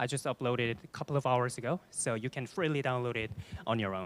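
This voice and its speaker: On a very clean recording with a silent background, a man talks with a Korean accent. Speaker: data analyst, conference speaker. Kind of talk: conference presentation. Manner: hesitant, with fillers.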